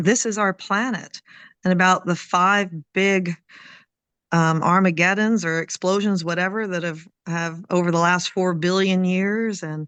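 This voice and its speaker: A woman talks at a fairly slow pace with a medium pitch. Her intonation stays fairly even. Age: 60s. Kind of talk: interview.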